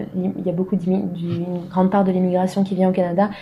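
A woman's medium-pitched, monotone, flat delivery amid noticeable background noise. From France; southwest France. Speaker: podcast host and interviewer. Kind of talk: casual interview. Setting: at the guest's apartment.

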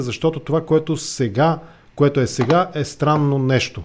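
A man with a plain, everyday voice speaks at a moderate pace, his fairly high pitch showing ordinary variation. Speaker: podcast host. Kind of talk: political interview.

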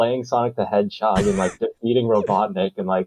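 Reading aloud in a natural voice

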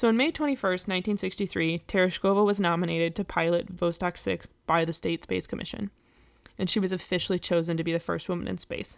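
Over a silent background in a very clean recording, a woman talks at a very fast pace with ordinary pitch variation. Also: fairly low pitch for a woman. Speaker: podcast host. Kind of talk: casual chat.

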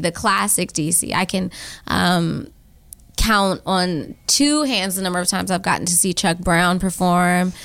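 An American accent marks this woman's unremarkable speaking voice at a moderate pace. The recording is very clean, with a silent background. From Washington, D.C. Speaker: artist and storyteller. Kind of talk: interview.

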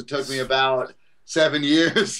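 A man with a fairly high-pitched voice speaks in a New York accent. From Brooklyn, New York. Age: 40s. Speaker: calisthenics trainer and author. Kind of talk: podcast interview. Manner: animated.

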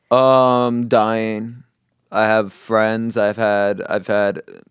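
A man speaks very slowly with a New York accent. His pitch is fairly low and his intonation fairly even. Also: very clean recording, silent background. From New York, Queens. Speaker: comedian. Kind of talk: casual chat.

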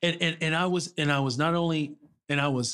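A man speaks with a New York accent. His pitch is fairly high, with ordinary variation. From New York City. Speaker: business commentator and adjunct professor. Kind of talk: interview storytelling.

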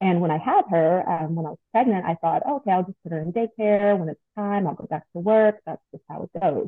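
A woman with an American accent and an ordinary speaking voice, medium pitch and ordinary pitch variation, at a fairly quick pace with big swings in loudness. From Long Beach, California. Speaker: postpartum doula. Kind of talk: casual interview chat.

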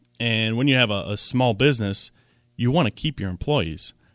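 Over a quiet background, a man with a plain, everyday voice talks at a medium pitch and a moderate pace, with ordinary pitch variation and a dry, close sound with no echo. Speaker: financial advisor. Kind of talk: radio talk show. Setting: radio studio.

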